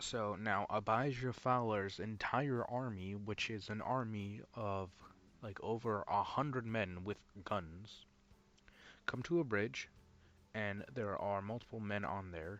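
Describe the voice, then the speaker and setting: A man's plain, everyday voice at a fairly slow pace, with ordinary pitch variation. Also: fairly low pitch for a man. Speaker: YouTube reviewer. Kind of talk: video review recap. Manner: casual with many fillers.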